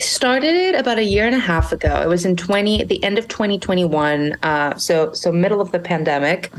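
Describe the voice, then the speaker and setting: Over noticeable background noise, a woman with a medium pitch speaks at a fairly quick pace with lively intonation, hardly any pauses and very even loudness. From Monterrey, Mexico. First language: Spanish. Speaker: small business founder. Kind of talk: podcast interview. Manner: halting, many repeated words.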